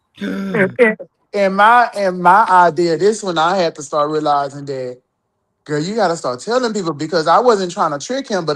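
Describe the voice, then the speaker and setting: In a very clean recording with a silent background, a woman speaks. Her pace is moderate and her intonation lively. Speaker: podcast panelist. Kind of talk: casual chat.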